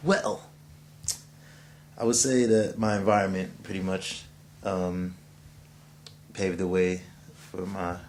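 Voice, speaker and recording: A man speaks quietly in a dark, mellow tone. His pace is fairly slow. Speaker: musician. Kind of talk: self-interview. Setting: editing suite. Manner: casual.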